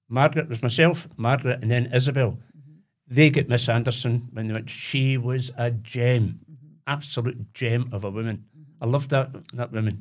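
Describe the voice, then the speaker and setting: With a Glaswegian accent, a man speaks at a moderate pace in a somewhat breathy voice with big swings in loudness. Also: medium pitch for a man, fairly even intonation. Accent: Glaswegian Scottish. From Glasgow, Possil Park. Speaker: retired electrician. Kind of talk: casual chat.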